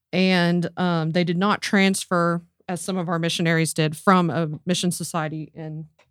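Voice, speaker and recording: On a very clean recording with a silent background and a dry, close sound with no echo, a woman with an American accent speaks at a fairly low pitch in a monotone, flat intonation at a fairly slow pace. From US Southeast. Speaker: archivist. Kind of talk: interview about history.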